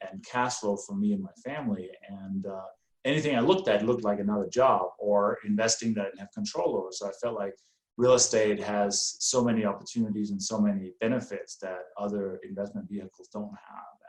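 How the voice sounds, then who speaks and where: A man with a slight Danish accent talks at a fairly quick pace with ordinary pitch variation. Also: big swings in loudness. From Denmark. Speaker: real estate investor. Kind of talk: podcast interview.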